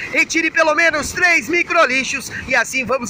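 A man speaks in a raised, projected voice at a moderate pace with ordinary pitch variation. The sound is dry with no echo, with light background noise. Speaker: surf report host. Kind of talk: surf report commentary. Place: beach. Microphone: phone near.

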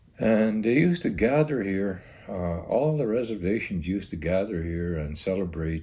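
The man's tone is dark and mellow, somewhat breathy. He speaks at a fairly slow pace. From Green Lake, Saskatchewan; Saskatchewan, Canada. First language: Cree. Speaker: village mayor. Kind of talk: interview about local history. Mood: reflective, recalling the past. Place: home room. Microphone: lapel.

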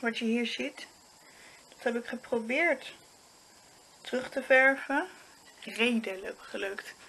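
A bright, sharp tone at a very slow pace, with long, frequent pauses and ordinary pitch variation. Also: woman, high pitch for a woman. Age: 20s. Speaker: vlogger. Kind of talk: casual vlog monologue. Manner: halting.

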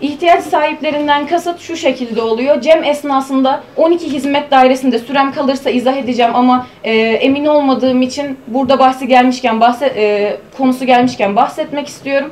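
High-pitched woman at a moderate pace, with fairly even intonation and hardly any pauses. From Hatay, southern Turkey. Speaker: university student presenter; presenter. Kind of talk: conference paper presentation. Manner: formal. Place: meeting room. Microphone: camera far.

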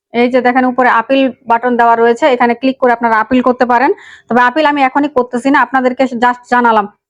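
The delivery is flat and monotone with very even loudness, heard in a dry, close sound with no echo. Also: woman, high pitch for a woman. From Bangladesh, Panchagarh district. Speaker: YouTube tech tutorial creator. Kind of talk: screen-recording tutorial.

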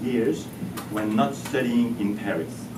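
A man talks at a fairly slow pace, with noticeable background noise present. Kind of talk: formal ceremonial speech. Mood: warm, lightly humorous. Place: hall. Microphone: camera far.

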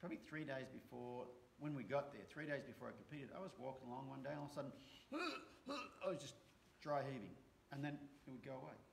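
Over light background noise, a man with an American accent talks very fast at a fairly high pitch. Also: fairly even intonation. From Australia. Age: 50s. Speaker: horse trainer. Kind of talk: casual chat. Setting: live stream. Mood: reflective, open. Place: home room. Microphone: webcam.

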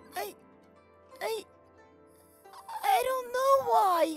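The speaker uses a put-on character voice. Faint music sits in the background. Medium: dub. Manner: emotional, hesitant.

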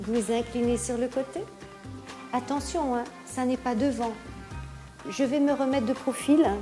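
Clear music plays in the background as a woman with a high pitch talks at a fairly slow pace with fairly even intonation. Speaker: pilates instructor. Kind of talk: exercise class instruction. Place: home room.

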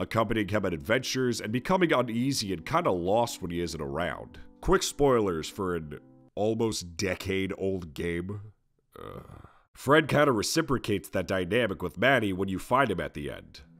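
Over music in the background, a man with a fairly low voice lets his pitch swing very widely. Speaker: video game reviewer. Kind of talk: video essay narration. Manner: casual.

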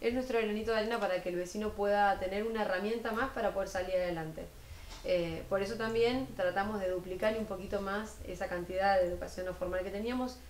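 A woman with a Rioplatense accent speaks at a very fast pace and with fairly even intonation, with audible room echo and light background noise. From Argentina, Buenos Aires province (Florencio Varela). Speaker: municipal culture official. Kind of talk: TV interview. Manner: hesitant, many fillers. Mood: earnest, committed. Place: studio.

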